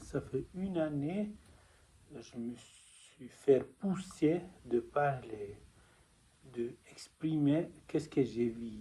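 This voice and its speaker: A man with a non-native accent, a fairly high pitch, a dark, mellow tone, somewhat breathy, with lively intonation, big swings in loudness, a very slow pace and long, frequent pauses. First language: not French (speaking French). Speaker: spiritual testimony vlogger. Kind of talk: personal testimony. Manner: halting.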